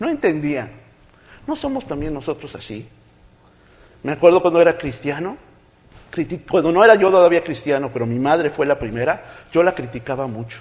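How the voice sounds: The voice moves at a fairly quick pace with big pitch swings, a slightly mellow tone and a slightly husky edge. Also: man, fairly high pitch for a man.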